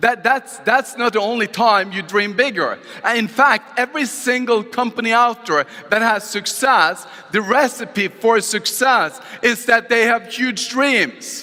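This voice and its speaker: In a Norwegian accent, the speaker uses a raised, projected voice at a fairly slow pace with ordinary pitch variation, over noticeable background noise. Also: man, extremely high pitch for a man. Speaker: motivational speaker. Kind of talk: motivational talk. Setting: stage with audience.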